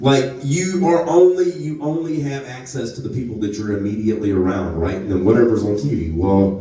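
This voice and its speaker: A man with a strong Southern US accent talks at a moderate pace in an animated tone, his pitch swinging very widely. Audible room echo and noticeable background noise come through. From North Louisiana. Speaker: comedian. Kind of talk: stand-up. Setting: stage with audience.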